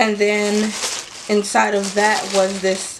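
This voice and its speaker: Noticeable background noise accompanies a woman speaking at a very slow pace. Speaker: beauty vlogger. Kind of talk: product unboxing vlog. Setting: home, filming in front of a mirror.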